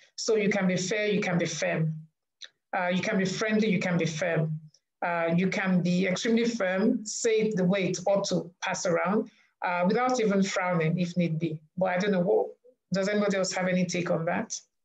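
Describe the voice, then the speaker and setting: A woman speaks at a medium pitch and a moderate pace. Her loudness is very even and her intonation fairly even. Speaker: panel moderator. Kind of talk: panel discussion. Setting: video call.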